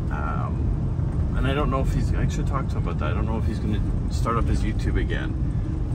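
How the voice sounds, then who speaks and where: Loud background noise and a dry sound with no echo. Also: man. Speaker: travel vlogger driving. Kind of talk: casual vlog chat. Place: car. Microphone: camera far.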